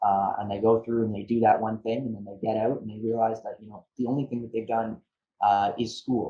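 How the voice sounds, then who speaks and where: Speaking in a Canadian accent, a man of medium pitch talks at a fairly quick pace. His intonation is monotone and flat, while his loudness swings widely. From Ontario, Canada (Niagara region). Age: 20s. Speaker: trade lawyer, university alumnus. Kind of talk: interview. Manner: halting, many fillers and repetitions.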